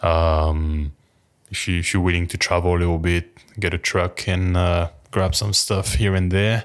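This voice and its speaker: A man with a French accent, very deep and low in pitch, at a moderate pace in a monotone, flat intonation, on a very clean recording with a silent background. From France. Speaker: personal trainer. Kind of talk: casual chat. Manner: halting, many fillers.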